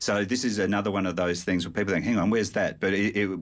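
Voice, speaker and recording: The speaker is a man with an Australian accent. His intonation is fairly even. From South Australia. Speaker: sport historian. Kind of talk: radio interview. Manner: halting.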